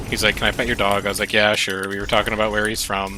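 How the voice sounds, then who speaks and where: Against noticeable background noise, a man with an American accent and a fairly low pitch talks at a very fast pace. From US Midwest, near Milwaukee, Wisconsin. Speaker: streamer. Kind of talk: casual chat. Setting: live stream. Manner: animated.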